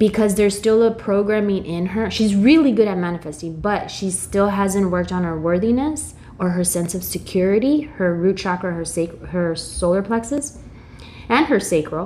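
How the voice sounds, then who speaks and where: Over noticeable background noise, a woman with an American accent speaks at medium pitch with ordinary pitch variation. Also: moderate pace. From US, came from Mexico at age two. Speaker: holistic practitioner and intuitive guide. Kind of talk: casual interview chat.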